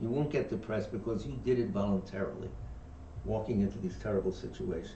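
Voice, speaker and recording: A man with a New York accent, fairly low pitch, lively intonation and a very fast pace, plus audible room echo and noticeable background noise. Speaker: dharma teacher. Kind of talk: reading aloud with discussion. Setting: livestream from meditation center.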